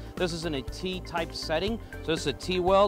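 Over clear music in the background, a man talks at a fairly quick pace in a dry recording with no echo. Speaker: welding instructor. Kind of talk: tutorial. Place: hall.

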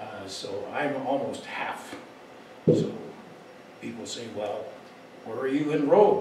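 Amid light background noise and audible room echo, a man speaks at a very slow pace. He leaves long, frequent pauses. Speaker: anthropologist lecturer. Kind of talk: lecture. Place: hall. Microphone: camera far.

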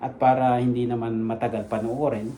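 The room echo is easy to hear. A man speaks at a medium speed. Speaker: vlogger, Filipino immigrant worker. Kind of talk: casual vlog talk.

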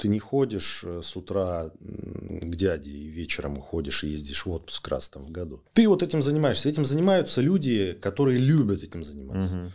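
A man's very deep, low voice with a dark, mellow tone, very wide pitch swings and big swings in loudness, at a moderate pace with hardly any pauses, on a very clean recording with a silent background. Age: 40s. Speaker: lawyer. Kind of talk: interview.

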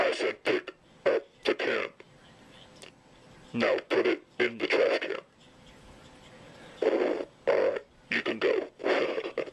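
In a put-on character voice, a man speaks at an extremely high pitch. His pace is very slow, with long, frequent pauses. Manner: commanding, clipped.

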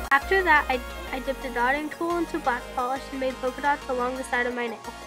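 A woman with a high pitch uses a raised, projected voice at a very fast pace, her intonation fairly even. Music plays in the background. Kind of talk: nail art tutorial voice-over. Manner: casual, friendly.

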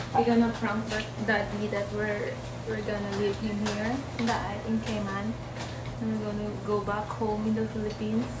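A woman speaks at a moderate pace against loud background noise. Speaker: mother coaching child. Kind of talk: casual vlog chat. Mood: playful, amused. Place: kitchen.

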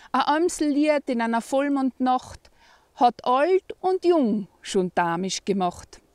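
Very wide pitch swings mark a woman's high voice, with an East Tyrolean accent, at a very slow pace. The sound is dry with no echo, against a quiet background. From East Tyrol, Austria. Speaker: poem reciter. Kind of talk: dialect poetry reading. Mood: cheerful, warm. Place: open country. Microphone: phone near.

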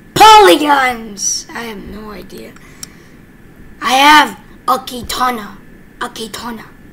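The speech moves at a fairly slow pace, broken by long, frequent pauses over noticeable background noise. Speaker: gaming youtuber. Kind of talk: gameplay commentary. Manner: animated.

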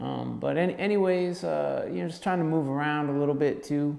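The background stays quiet. A man speaks at a moderate speed. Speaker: music course instructor. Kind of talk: lecture. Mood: relaxed, casual. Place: empty room. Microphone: camera far.

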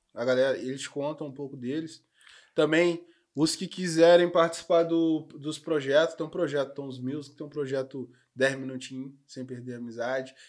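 A man speaks at a moderate pace in a fairly high pitch, his loudness swinging widely against a quiet background. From Rio de Janeiro state, Brazil. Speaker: podcast host; podcast guest. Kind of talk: casual chat. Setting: studio. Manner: slangy, animated. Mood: relaxed, joking. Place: studio. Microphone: studio mic.

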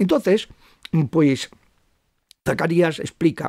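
A man speaks at a fairly high pitch with vocal fry, recorded dry with no echo against a quiet background. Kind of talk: interview on religious topics. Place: home room. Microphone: studio mic.

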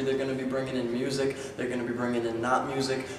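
A man speaks at a very fast pace in a medium pitch. Audible room echo and light background noise surround his voice. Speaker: college spoken word poet. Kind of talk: event promo talk to camera. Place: hall. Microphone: camera far.

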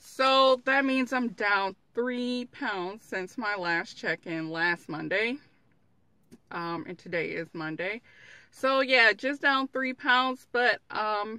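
Very slow and dry with no echo, a woman's voice shows ordinary pitch variation against a quiet background. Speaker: vlogger. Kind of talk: casual vlog chat. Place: car. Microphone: phone near.

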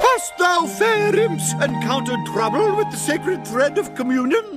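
Someone performs a put-on character voice at a moderate pace. Loud music plays in the background. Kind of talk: archaic, theatrical. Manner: formal, in-character fantasy speech.

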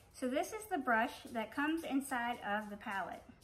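Over faint music in the background, a woman talks in a high pitch with lively intonation. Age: 40s. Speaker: beauty vlogger. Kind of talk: product review tutorial. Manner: casual, with frequent hesitations. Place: home room. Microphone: phone near.

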